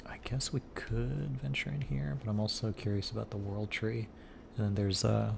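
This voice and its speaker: The voice has a relaxed tone and a moderate pace, with noticeable background noise. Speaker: gaming streamer. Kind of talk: casual gameplay commentary. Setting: live stream. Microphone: internet issues, low signal.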